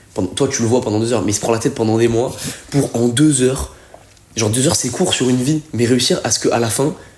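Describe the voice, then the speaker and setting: A man speaks at a fairly quick pace, with a medium pitch and ordinary pitch variation. There is noticeable background noise. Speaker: calisthenics athlete. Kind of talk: casual chat.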